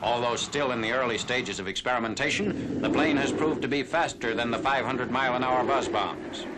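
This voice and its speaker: There is noticeable background noise as a man talks at a fairly quick pace with hardly any pauses, his medium pitch showing ordinary variation. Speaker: newsreel narrator. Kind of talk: newsreel narration.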